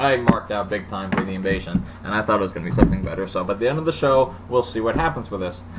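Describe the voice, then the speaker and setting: A man with a fairly low voice rattles along very fast with lively intonation while noticeable noise fills the background. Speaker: wrestling show reviewer. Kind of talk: casual review monologue. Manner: hesitant, many fillers.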